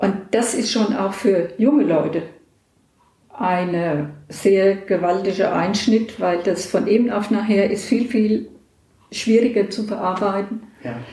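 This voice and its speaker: The woman talks very slowly, her medium-pitched voice rising and falling in an ordinary way. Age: 60s. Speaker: hospital volunteer visitor. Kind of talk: interview.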